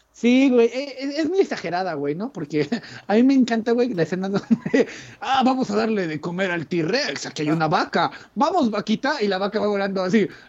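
With a Mexican accent and lively intonation, a man speaks in a high pitch at a moderate pace over noticeable background noise. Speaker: podcast co-host. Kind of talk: casual chat.

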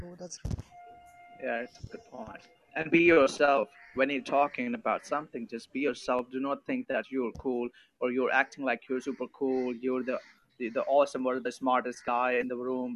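With a plain, everyday voice, a man speaks at a medium pitch and moderate pace, his intonation fairly even, in a dry, close sound with no echo. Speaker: podcast participant. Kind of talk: casual group discussion. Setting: online voice call.

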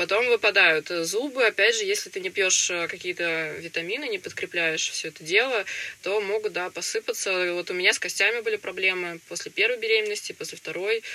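Noticeable background noise behind a woman at medium pitch, fairly quick in pace, with ordinary pitch variation. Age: young. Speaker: young mother of three. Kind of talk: interview.

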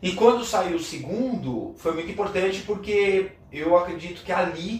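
A man speaks at a very slow pace. Noticeable background noise and audible room echo fill the recording. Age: 40s. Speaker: metal drummer. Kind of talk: casual interview chat. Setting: drum school studio.

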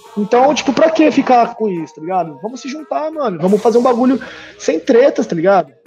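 At a very fast pace, a man talks in an animated tone with music in the background. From interior of São Paulo state (Tupã). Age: 30s. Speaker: rap battle host and organizer. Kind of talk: casual interview chat. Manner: animated, slangy.

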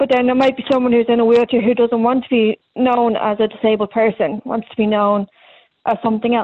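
A woman with a Dublin accent at a fairly quick pace, fairly high in pitch, monotone and flat in intonation. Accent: Dublin Irish. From Ireland, Dublin. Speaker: comedian. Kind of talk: casual interview.

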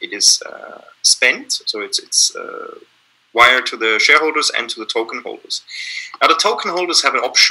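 Speaking with a German accent, a man keeps a moderate pace. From Austria, Vienna. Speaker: company founder and CEO. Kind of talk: interview. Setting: video call.

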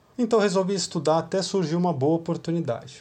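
In a dark, mellow tone that is somewhat breathy, a man talks at a fairly quick pace against a quiet background. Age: 30s. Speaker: youth church leader. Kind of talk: devotional talk.

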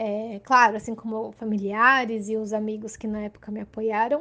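Speaking at a moderate pace, a woman uses an ordinary speaking voice with a fairly high pitch. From Santos, São Paulo coast, Brazil. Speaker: podcast listener. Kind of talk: recorded personal testimony.

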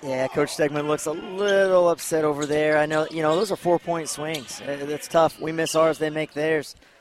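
A man at a moderate pace with fairly even intonation over noticeable background noise. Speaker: color commentator. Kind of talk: casual analytic color commentary. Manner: folksy, halting with fillers.

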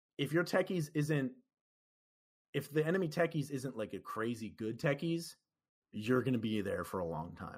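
With vocal fry and very wide pitch swings, a man speaks at a medium pitch on a very clean recording with a silent background. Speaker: gamer and musician. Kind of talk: casual interview chat. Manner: hesitant, filler-heavy.

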